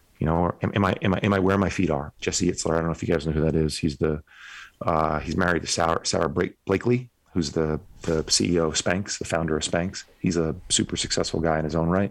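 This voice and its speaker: A man with an American accent and a very deep, low pitch, very fast pace, very even loudness and fairly even intonation, in a very clean recording with a silent background. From northern New Jersey, Bergen County. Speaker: men's coach, former finance worker. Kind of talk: casual interview chat.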